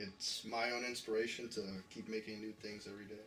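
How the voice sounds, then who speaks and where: With music in the background and audible room echo, a man talks in a flat monotone at a fairly low pitch. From New York. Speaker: music producer. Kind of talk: documentary interview.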